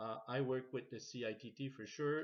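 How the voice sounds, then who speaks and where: Speaking with a Quebec accent, a man keeps his intonation fairly even. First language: French. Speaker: logistics course facilitator. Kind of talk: reading aloud. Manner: halting.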